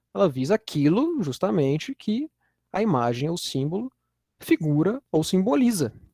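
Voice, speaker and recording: In a Minas Gerais accent, a man speaks at a moderate pace with a high pitch, very wide pitch swings and a dark, mellow tone, in a dry, close sound with no echo. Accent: Minas Gerais Brazilian Portuguese. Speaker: university lecturer. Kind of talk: lecture. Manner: casual, with frequent fillers and repetitions.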